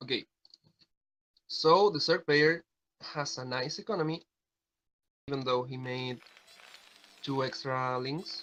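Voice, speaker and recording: A man's fairly high, bright and sharp voice with ordinary pitch variation and long, frequent pauses. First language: Spanish. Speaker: StarCraft game caster. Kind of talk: live commentary.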